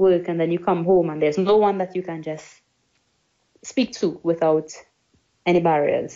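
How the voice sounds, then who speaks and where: A woman with a fairly low pitch and ordinary pitch variation talks at a moderate pace. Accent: Trinidadian. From Trinidad and Tobago. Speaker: English teacher. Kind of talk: interview.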